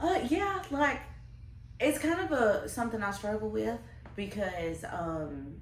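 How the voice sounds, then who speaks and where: A woman with a Southern US accent at a fairly slow pace, amid noticeable background noise and audible room echo. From US South, Alabama. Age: 30s. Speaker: interviewee. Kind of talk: interview. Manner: halting, many fillers.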